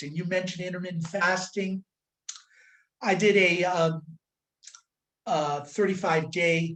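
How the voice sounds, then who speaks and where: Monotone, flat intonation marks a man's speech. His pace is fairly slow. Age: 70s. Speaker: chiropractor and nutritionist. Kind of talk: interview. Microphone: connection breaking up.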